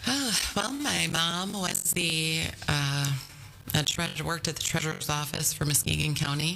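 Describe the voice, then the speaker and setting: A woman with a very deep, low pitch speaks in a Michigan accent at a moderate pace, with ordinary pitch variation and very even loudness. Audible room echo and noticeable background noise fill the recording. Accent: Upper Midwest US (Michigan). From Whitehall, west Michigan. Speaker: victim services worker. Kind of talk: casual interview.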